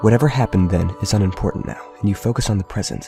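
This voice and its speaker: A man's fairly low voice at a very fast pace, with ordinary pitch variation and music in the background. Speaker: game video narrator. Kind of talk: game analysis narration.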